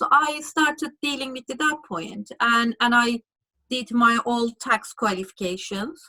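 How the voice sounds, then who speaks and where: A woman's high-pitched voice, bright and sharp in tone, with ordinary pitch variation and a dry, close sound with no echo. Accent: strong Turkish. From Turkey. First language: Turkish. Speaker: lawyer. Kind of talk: interview. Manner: halting.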